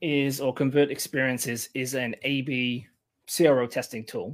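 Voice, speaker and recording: Here a man speaks with an English accent. The recording is very clean, the background silent. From England. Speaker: content marketer. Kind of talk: casual interview.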